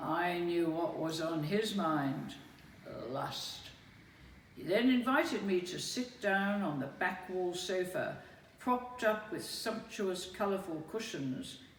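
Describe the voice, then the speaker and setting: Against noticeable background noise, a woman with a medium pitch speaks very slowly with lively intonation. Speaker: spoken word performer. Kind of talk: spoken word reading of personal memoir.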